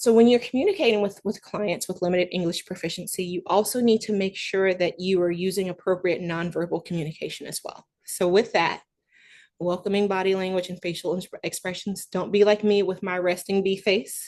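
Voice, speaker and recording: Fairly even intonation in a Southern US accent, at a fairly quick pace over a quiet background. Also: woman, medium pitch for a woman. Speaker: veterinary practice management speaker. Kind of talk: webinar presentation. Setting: online webinar.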